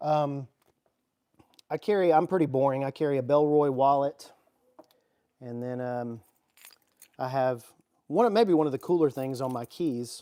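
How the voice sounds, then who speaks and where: The speaker has a Southern US accent and a moderate pace, with ordinary pitch variation. Long pauses come often. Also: man, fairly high pitch for a man. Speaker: EDC YouTuber. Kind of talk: livestream chat. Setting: garage. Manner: animated.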